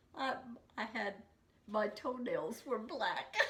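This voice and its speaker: A woman at a very slow pace, over noticeable background noise. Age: 80s+. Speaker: grandmother. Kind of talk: interview answer, casual conversation.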